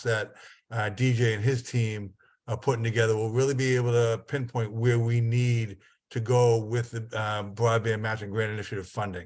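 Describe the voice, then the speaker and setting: Against a quiet background, a man speaks at a moderate pace and medium pitch in a monotone, flat intonation. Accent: northern Massachusetts. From northern Massachusetts. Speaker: state broadband program official. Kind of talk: meeting presentation.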